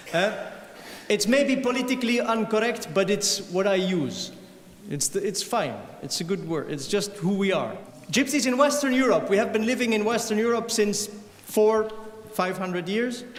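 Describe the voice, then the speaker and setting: A high-pitched man with a Flemish Belgian accent at a moderate pace, ordinary pitch variation, audible room echo and noticeable background noise. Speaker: violinist and singer. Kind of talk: stage talk to concert audience.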